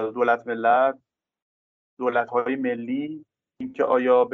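A man's medium-pitched voice, monotone and flat in intonation, at a moderate pace. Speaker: political science professor. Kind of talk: interview.

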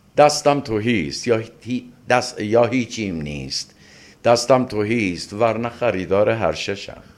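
A man with a plain, everyday voice, medium in pitch, at a fairly slow pace with lively intonation. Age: 60s. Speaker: literature professor and translator. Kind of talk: interview.

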